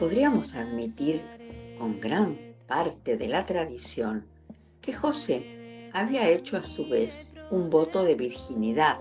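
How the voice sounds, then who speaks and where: Speaking at a very slow pace with very wide pitch swings, the voice comes over music playing in the background. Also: woman, very deep, low pitch for a woman. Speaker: voice-over narrator. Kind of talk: devotional prayer reading.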